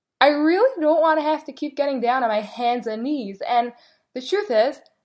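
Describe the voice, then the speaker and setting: A woman talks at a moderate pace. Her tone is weary yet animated. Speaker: podcast host. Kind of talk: venting rant to an audience, complaining about shidduch dating. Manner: exasperated, weary, sighing; animated, emphatic, cheerful start then bitter, frustrated.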